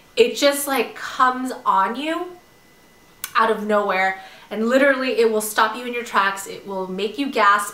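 A woman speaks at a moderate pace in a fairly high pitch with ordinary pitch variation. Her loudness swings widely, and there is noticeable background noise. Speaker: pregnant vlogger. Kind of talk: casual talk to camera. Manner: hesitant, many fillers.

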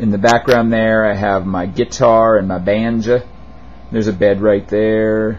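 This man has a plain, everyday voice, fairly low in pitch, and speaks at a fairly slow pace with ordinary pitch variation. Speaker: vlogger. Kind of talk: casual vlog chat. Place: home room. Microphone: handheld.

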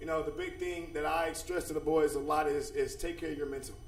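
Amid noticeable background noise and audible room echo, a man speaks energetically at a fairly quick pace. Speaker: dean of students at a school. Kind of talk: presentation at a school board meeting. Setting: public board meeting.

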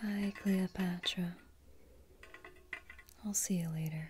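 Soft-spoken and whispering, a woman talks at a very slow pace over light background noise. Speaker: ASMR roleplay host. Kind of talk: soft-spoken roleplay talk. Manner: soft close ASMR whisper to a pet beetle. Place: home room.

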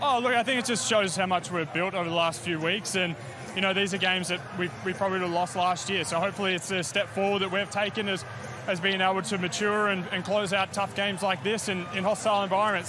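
Over noticeable background noise, a man talks at a very fast pace in a raised, projected voice with fairly even intonation, the sound dry with no echo. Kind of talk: interview answer. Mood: pleased after a win. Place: stadium. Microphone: handheld.

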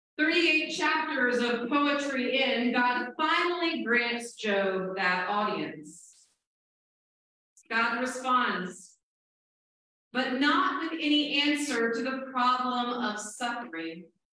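Strong room echo surrounds a woman speaking very slowly at a high pitch with lively intonation. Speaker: Presbyterian minister. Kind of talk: church sermon. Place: church.

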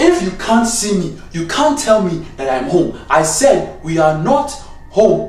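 The delivery is fairly slow. Room echo is audible. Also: man. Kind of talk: comedic sketch dialogue. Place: home room. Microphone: phone near.

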